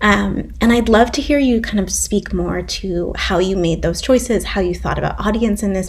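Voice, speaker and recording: Audible room echo and noticeable background noise behind a woman speaking. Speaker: writer and interviewer. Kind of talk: conversational interview.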